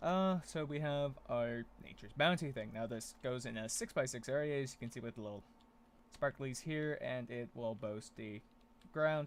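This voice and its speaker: A man's medium-pitched voice, with ordinary pitch variation, is captured on a very clean recording against a silent background. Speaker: gaming video creator. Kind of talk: gameplay commentary. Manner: fast.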